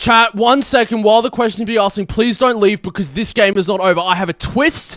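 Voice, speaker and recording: A man speaks at a fairly quick pace in an Australian accent. The sound is dry and close, with no echo. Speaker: streamer and tournament host. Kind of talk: live stream post-game interview. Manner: loud; animated.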